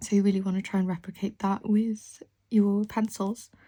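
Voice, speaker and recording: Her voice sits at a medium pitch, somewhat breathy, with a dark, mellow tone. This woman keeps a monotone, flat intonation. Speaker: artist and drawing teacher. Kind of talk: tutorial. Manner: casual, conversational.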